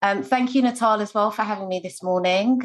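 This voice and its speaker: Speaking with a London accent, a woman uses a medium pitch and ordinary pitch variation. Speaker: scrum master and agile coach. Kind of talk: online meetup introduction.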